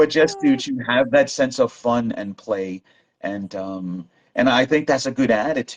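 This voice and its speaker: Lively intonation marks the man's medium-pitched voice, an unremarkable speaking voice. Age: 60s. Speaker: language learning guest. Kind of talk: casual chat.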